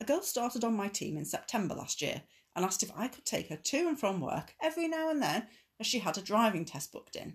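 A woman talks at a very fast pace in a fairly high, somewhat breathy voice. Her pitch swings very widely and her loudness varies a lot. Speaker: podcast host reading Reddit posts aloud. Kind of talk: casual British conversational.

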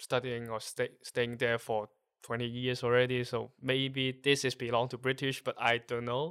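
Speaking at a medium pitch and moderate pace with a Cantonese accent, a man uses monotone, flat intonation and a bright, sharp tone, the recording very clean with a silent background and a dry, close sound with no echo. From Hong Kong. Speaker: podcast guest, expat from Hong Kong. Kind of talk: casual interview.

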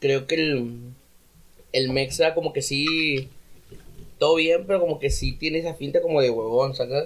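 A man speaks at a fairly slow pace with fairly high pitch and fairly even intonation. He leaves long, frequent pauses. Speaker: rapper. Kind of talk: casual chat.

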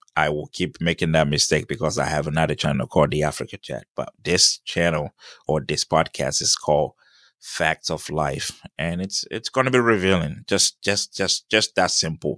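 In a dry, close recording with no echo and a quiet background, a man with a very deep, low pitch and vocal fry speaks at a moderate pace with ordinary pitch variation. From Ghana. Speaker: podcast host. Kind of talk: solo monologue. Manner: halting.

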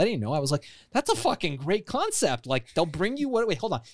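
With an American accent, a man speaks at a fairly quick pace using very wide pitch swings, captured in a very clean recording with a silent background. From Iran, raised in the US from childhood. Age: 40s. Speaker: entrepreneur and author. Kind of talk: podcast interview.

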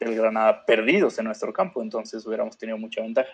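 Speaking with a Mexican accent, a man keeps up a fairly quick pace. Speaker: sports podcast co-host. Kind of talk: casual chat.

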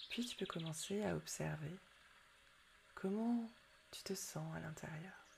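Speaking at a very slow pace with long, frequent pauses, a woman has a gentle, warm tone. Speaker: meditation guide. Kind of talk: guided meditation. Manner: soothing, slow and calm; gentle, warm, intimate.

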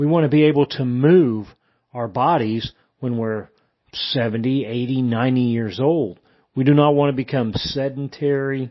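The man has a normal speaking voice, medium in pitch, with ordinary pitch variation and a moderate pace. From Indiana, US Midwest. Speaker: retired army veteran. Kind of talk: testimony.

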